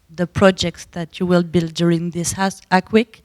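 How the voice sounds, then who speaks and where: A woman speaks with a French accent. The sound is dry and close with no echo, in a very clean recording with a silent background. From France. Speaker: audience member. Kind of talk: audience question. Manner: halting.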